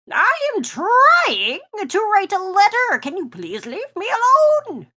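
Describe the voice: A squeaky, put-on character voice sits at an extremely high pitch. It moves at a fairly slow pace.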